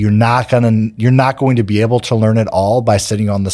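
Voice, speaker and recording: Fairly fast, a man talks in a dark, mellow tone. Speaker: real estate investor and podcast host. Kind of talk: solo educational talk. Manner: fast talker; mumbles slightly.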